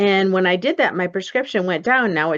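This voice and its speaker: A plain, everyday voice from a woman at medium pitch, with ordinary pitch variation and a quiet background. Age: 60s. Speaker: behavioral optometrist. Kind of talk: interview.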